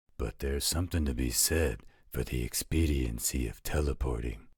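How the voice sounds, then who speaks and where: With a very deep, low pitch, a man puts on a character voice and speaks at a moderate pace. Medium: audio drama. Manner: casual, joking.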